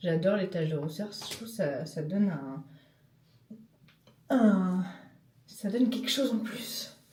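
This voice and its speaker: A woman speaks at a medium pitch with ordinary pitch variation and a fairly slow pace. Audible room echo colors the recording. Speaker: travel vlogger. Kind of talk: casual vlog talk. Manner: hesitant, many fillers.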